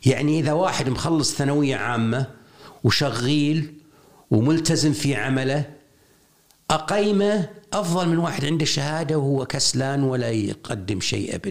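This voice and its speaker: Fairly high male speech, fairly slowly paced and carrying ordinary pitch variation. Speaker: education consultant and writer. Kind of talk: interview.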